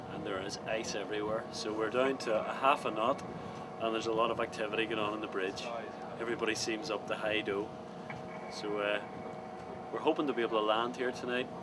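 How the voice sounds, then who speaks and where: A man with an Irish accent speaks with long, frequent pauses against loud background noise. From Ireland. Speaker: travel storyteller. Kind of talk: on-location travel commentary to camera. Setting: outdoors. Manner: casual, enthusiastic. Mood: cheerful, enthusiastic.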